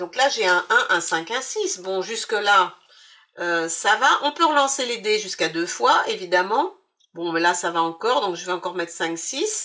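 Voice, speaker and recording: A woman's medium-pitched voice with a bright, sharp tone, lively intonation and a fairly slow pace. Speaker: board game youtuber. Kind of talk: game playthrough tutorial. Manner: hesitant, many fillers; casual, relaxed.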